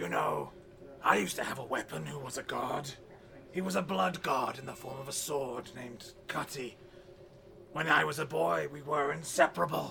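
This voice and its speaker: Over clear background noise, a man does a raspy put-on character voice at medium pitch and a moderate pace, with very wide pitch swings. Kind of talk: comic overacting. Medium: audio drama. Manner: pompous, childish.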